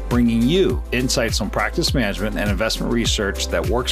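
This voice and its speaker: Moderate-paced male speech over music in the background. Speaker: podcast host. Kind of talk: podcast intro read.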